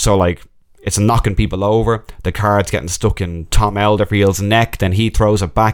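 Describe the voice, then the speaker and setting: In an Irish accent, a man speaks at a fairly low pitch and moderate pace with fairly even intonation. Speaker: magician and podcast host. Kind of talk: casual solo podcast monologue. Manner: laughs often while talking.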